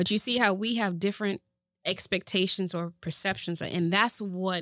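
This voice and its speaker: With an American accent, a woman's bright, sharp tone sits at a fairly low pitch with ordinary pitch variation, recorded very cleanly against a silent background with a dry, close sound and no echo. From Boston, Massachusetts. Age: 40s. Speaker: show host and entertainer, former rapper. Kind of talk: casual interview chat.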